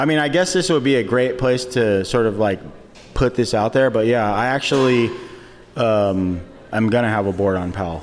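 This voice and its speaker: Against noticeable background noise, a man speaks at a medium pitch with very even loudness. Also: lively intonation, moderate pace. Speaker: professional skateboarder. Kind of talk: live podcast interview. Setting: stage with audience.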